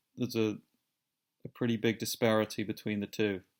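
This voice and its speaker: A man with a British accent speaks at a moderate pace in a medium-pitched voice. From Britain. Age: 30s. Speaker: vlogger. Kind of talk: personal vlog monologue. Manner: halting, many repetitions and fillers.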